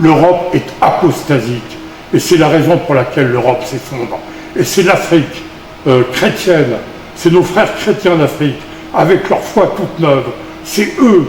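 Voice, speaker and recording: There is noticeable background noise behind the speaker. He is a man with a fairly high pitch. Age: 70s. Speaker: activist. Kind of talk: interview. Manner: halting.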